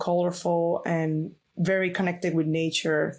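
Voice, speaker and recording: In a very clean recording with a silent background, a woman with a Venezuelan accent and a fairly low pitch speaks at a moderate pace. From Venezuela, Valencia. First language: Spanish. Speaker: illustrator. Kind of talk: interview. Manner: hesitant, many fillers.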